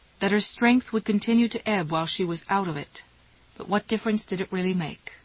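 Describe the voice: Someone does plain reading aloud, pitch varying in an ordinary way.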